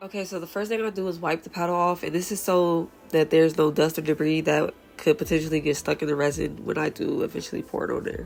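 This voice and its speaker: With music in the background, a woman speaks at a very fast pace, her fairly low pitch holding fairly even intonation. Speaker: resin crafter. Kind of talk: tutorial.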